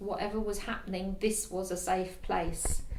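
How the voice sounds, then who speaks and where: With audible room echo around her, a woman speaks at medium pitch and a fairly slow pace. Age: 60s. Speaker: counselling client. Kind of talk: testimony. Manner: halting.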